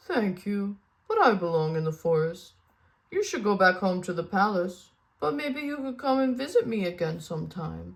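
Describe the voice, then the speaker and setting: A quiet put-on character voice at a middle pitch. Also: female-sounding voice, moderate pace. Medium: read story. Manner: quiet, gentle.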